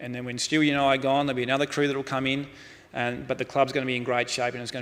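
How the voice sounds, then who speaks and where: A man speaks very fast with an Australian accent. His intonation stays flat and monotone. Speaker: football club executive, keynote speaker. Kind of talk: conference keynote.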